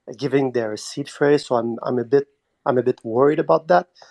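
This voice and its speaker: With a Quebec accent, the speaker keeps a fairly even intonation in a dry, close sound with no echo. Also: man. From Quebec, Montreal. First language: French. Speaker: community member asking a question. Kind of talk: live audio chat question. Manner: halting.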